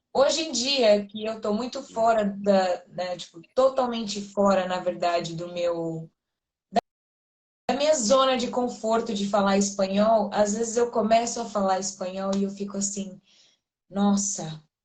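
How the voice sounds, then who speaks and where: A somewhat breathy woman's voice at a medium pitch and a fairly slow pace, with ordinary pitch variation. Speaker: Portuguese teacher. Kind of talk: casual conversation.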